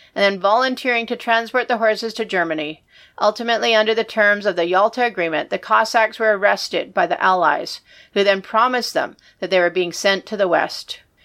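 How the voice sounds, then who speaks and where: A woman with a bright, sharp tone talks at a fairly quick pace with ordinary pitch variation on a very clean recording with a silent background. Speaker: podcast co-host. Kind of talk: history documentary narration, read aloud from script. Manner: measured, steady, even-paced storytelling read.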